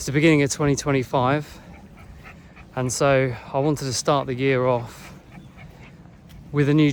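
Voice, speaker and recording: There is an English accent in this man's speech. He talks fairly quickly. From England. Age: 40s. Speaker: online business vlogger. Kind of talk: casual talk to camera. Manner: hesitant, with fillers.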